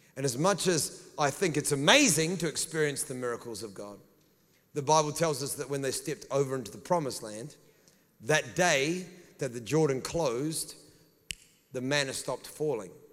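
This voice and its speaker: A fairly high-pitched man at a moderate pace, with ordinary pitch variation. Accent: New Zealand. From New Zealand. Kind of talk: sermon. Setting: church with congregation. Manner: animated, preacherly.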